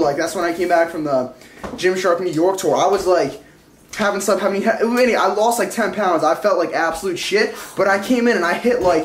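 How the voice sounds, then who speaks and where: Fairly quick speech with ordinary pitch variation, audible room echo and light background noise. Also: man. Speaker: fitness vlogger. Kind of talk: casual vlog chat. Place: kitchen. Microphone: phone near.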